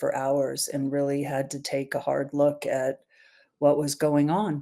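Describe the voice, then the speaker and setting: A woman's very deep, low pitch in a dark, mellow tone, monotone, flat intonation at a moderate pace, on a very clean recording with a silent background. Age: 60s. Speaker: podcast guest, business owner. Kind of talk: personal interview.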